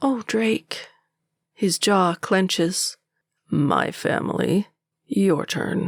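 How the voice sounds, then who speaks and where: A woman uses a put-on character voice at medium pitch. She speaks at a very slow pace with long, frequent pauses. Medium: read story. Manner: terse, guarded.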